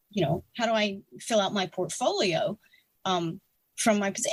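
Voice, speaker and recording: A woman speaks at a moderate pace in a fairly high voice. Her delivery is somewhat breathy. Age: 60s. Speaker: retired air force officer and writer. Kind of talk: interview. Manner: halting, many fillers and restarts.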